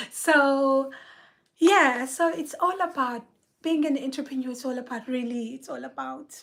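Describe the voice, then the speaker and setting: Loud and high-pitched, a woman speaks at a fairly slow pace with ordinary pitch variation and long, frequent pauses. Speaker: artist and speech therapist. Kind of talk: solo live video monologue. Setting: private live video.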